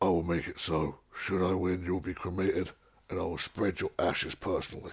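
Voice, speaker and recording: Putting on a raspy character voice, a man speaks in a very deep, low pitch at a fairly quick pace. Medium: read story. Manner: grave, honourable.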